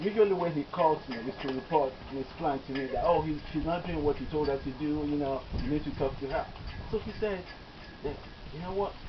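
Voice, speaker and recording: A man with a Nigerian accent, fairly high-pitched, with ordinary pitch variation, a fairly quick pace broken by long, frequent pauses, and noticeable background noise. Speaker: doctor. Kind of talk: eulogy.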